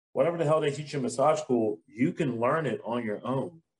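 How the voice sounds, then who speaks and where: A somewhat breathy man speaks at a moderate pace and fairly high pitch, with ordinary pitch variation. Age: 30s. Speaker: massage therapist and business owner. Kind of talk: casual chat.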